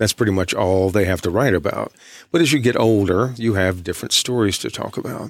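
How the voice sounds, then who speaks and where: An ordinary speaking voice from a man with an American accent, fairly low in pitch, fairly quick, with ordinary pitch variation. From East Texas. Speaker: author and creative writing professor. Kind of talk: radio interview.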